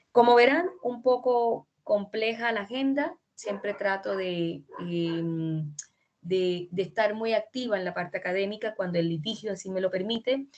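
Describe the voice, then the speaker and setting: A woman's medium-pitched voice in a Colombian accent at a fairly slow pace. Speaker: law lecturer. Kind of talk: lecture. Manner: halting.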